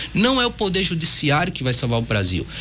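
A man's voice in very wide pitch swings at a fairly quick pace, with noticeable background noise. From Pernambuco, Brazil. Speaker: federal judge. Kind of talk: radio interview. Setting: radio studio.

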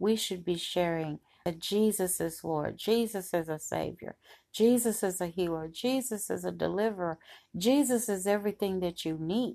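A woman speaks at a moderate pace in a medium-pitched voice with a dark, mellow tone. Her pitch varies in an ordinary way, and the recording is very clean with a silent background. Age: 60s. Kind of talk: devotional Bible teaching monologue. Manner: conversational, with many fillers.

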